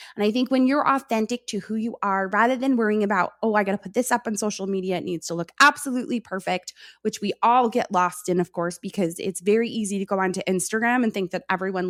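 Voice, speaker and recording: Someone with an American accent speaks at a very fast pace with lively intonation. The recording is very clean with a silent background and a dry, close sound with no echo. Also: woman. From New York. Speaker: content strategist, former teacher. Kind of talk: podcast interview.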